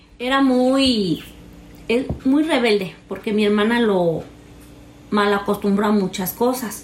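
A woman speaks at a very slow pace and a fairly high pitch, with long, frequent pauses. Her pitch variation is ordinary, her loudness very even, and the room echo audible. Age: 30s. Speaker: interviewee sharing personal story. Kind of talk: personal testimony. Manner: halting, many fillers.

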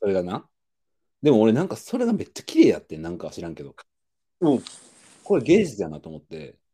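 A man with a Kansai accent at a very fast pace, loudness swinging widely, with long, frequent pauses. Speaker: podcast co-host. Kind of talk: casual chat.

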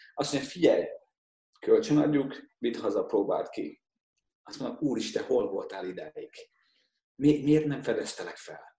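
A man speaks with big swings in loudness. His pauses are long and frequent. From Hungary. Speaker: portrait and wedding photographer. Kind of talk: casual chat.

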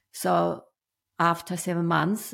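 A woman with a Chinese accent at a very slow pace. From China. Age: 50s. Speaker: business owner. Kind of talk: interview storytelling. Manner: halting, many fillers.

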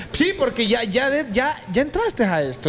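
A man talks fairly slowly while background noise is clearly heard. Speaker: youtuber and interviewer. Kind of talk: casual interview.

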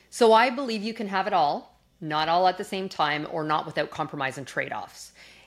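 Over a silent background in a very clean recording, a woman with a Canadian accent and a plain, everyday voice speaks at a moderate pace, her fairly low pitch carried by lively intonation. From Canada, Calgary. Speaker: corporate executive and speaker. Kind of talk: interview conversation.

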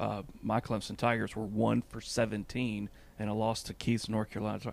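A man's fairly low voice with vocal fry and little pitch movement, at a fairly quick pace

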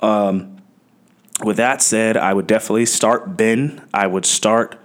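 This is an unremarkable speaking voice. It goes at a fairly slow pace. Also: man. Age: 30s. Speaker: fantasy football analyst. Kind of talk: casual chat.

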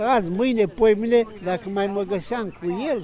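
With ordinary pitch variation and a fairly slow pace, a man speaks as noticeable background noise continues. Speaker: retired chess amateur. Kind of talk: interview. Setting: outdoors.

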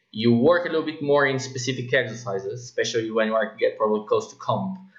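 A man speaks with a Portuguese accent. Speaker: podcast host, fitness coach. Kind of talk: interview.

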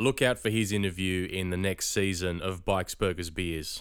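Speaking at a moderate pace with an Australian accent, a man comes through in a very clean recording with a silent background. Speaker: podcast host. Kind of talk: casual chat; podcast monologue.

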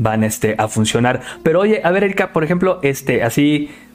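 A man's fairly slow, lively-toned speech over noticeable background noise. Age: 20s. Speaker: podcast host. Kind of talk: casual interview. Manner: animated.

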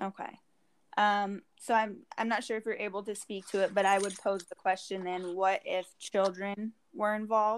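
The recording is very clean, with a silent background. A woman speaks at a moderate pace and medium pitch in a monotone, flat way. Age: young. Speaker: podcast host. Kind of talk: interview.

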